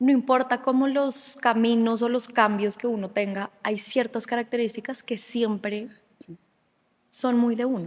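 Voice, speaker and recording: A woman speaks in a high-pitched voice, keeping to a fairly slow pace. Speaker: podcast interviewer. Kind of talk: podcast interview questions.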